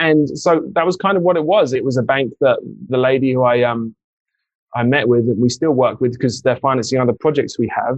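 In an English accent, a man at medium pitch talks fairly quickly, with ordinary pitch variation and very even loudness. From England. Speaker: real estate investor, former musician. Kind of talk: interview.

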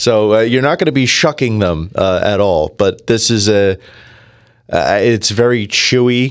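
On a very clean recording with a silent background, a man with an American accent speaks at a fairly slow pace in a normal speaking voice, with ordinary pitch variation and very even loudness. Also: medium pitch for a man. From New Jersey. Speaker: food expert. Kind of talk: casual chat.

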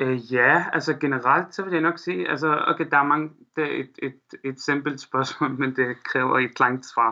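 In a quiet background, a man with an Arabic accent speaks at a fairly high pitch with ordinary pitch variation, a bright, sharp tone, and a fairly slow pace. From Syria, Aleppo. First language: Arabic (speaking Danish). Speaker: Syrian refugee, student. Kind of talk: interview. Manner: halting, many fillers.

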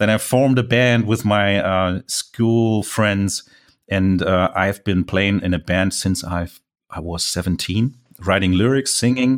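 With a German accent, a man talks in a fairly low pitch with ordinary pitch variation. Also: fairly slow pace, very clean recording, silent background. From Germany. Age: 40s. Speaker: landscape photographer. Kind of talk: interview.

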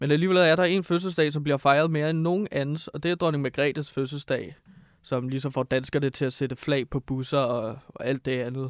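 A normal speaking voice from a man, fairly high in pitch, at a moderate pace with ordinary pitch variation, dry and close with no echo on a very clean recording with a silent background. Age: 20s. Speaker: radio co-host. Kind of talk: casual chat.

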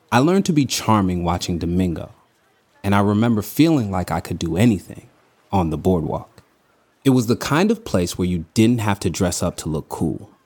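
With an American accent, a man uses a plain, everyday voice at fairly low pitch with lively intonation. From US West Coast, Los Angeles (Venice Beach). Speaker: storyteller sharing personal memories. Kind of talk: scripted narration. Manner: slow and clear, simple English for learners.

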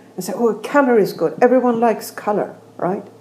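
A woman with a Swedish accent speaks at a moderate pace with fairly even intonation, against noticeable background noise. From Sweden. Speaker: architect and professor. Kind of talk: casual interview conversation. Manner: halting, many fillers.

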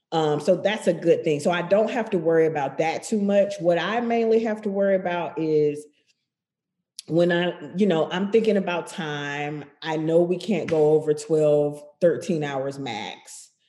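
A woman with an American accent has an unremarkable speaking voice, fairly low in pitch. She speaks at a fairly slow pace with ordinary pitch variation. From US South, Macon, Georgia. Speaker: television director. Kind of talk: casual interview conversation.

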